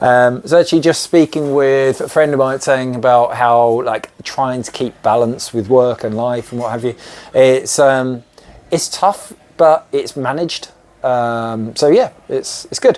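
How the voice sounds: A man speaks at a medium pitch with ordinary pitch variation and a slightly mellow tone. His pace is fairly slow, with few pauses.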